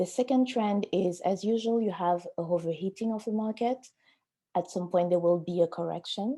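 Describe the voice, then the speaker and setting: Her tone is dark and mellow. The woman speaks with a French accent. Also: medium pitch for a woman, ordinary pitch variation, moderate pace. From Africa (francophone). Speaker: auction house art specialist. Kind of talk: webinar panel discussion.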